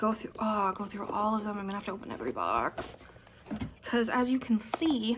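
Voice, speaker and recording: A woman's fairly high-pitched voice with ordinary pitch variation, a fairly quick pace, and noticeable background noise. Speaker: beauty YouTuber. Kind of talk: product unboxing review. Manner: casual, chatty.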